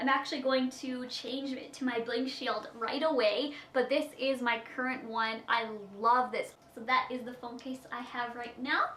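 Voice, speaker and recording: A woman with a Canadian Prairie accent talks at a moderate pace in a high pitch, her intonation monotone and flat. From Saskatchewan, Canada. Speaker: beauty vlogger. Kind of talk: Q&A vlog.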